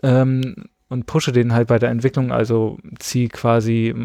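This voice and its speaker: A man at medium pitch speaks with a dark, mellow tone. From northeast Germany (Greifswald, coast). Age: 20s. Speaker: photographer, trained chef. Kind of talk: casual chat. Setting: home recording with four people.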